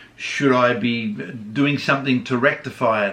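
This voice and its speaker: Against noticeable background noise, a man with an Australian accent speaks at medium pitch with ordinary pitch variation. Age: 60s. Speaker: vlogger's husband. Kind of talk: casual Q&A chat.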